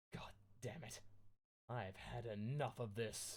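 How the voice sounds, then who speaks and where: Putting on a raspy character voice, a man talks at medium pitch with fairly even intonation and a fairly slow pace. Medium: read story. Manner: whining, self-pitying.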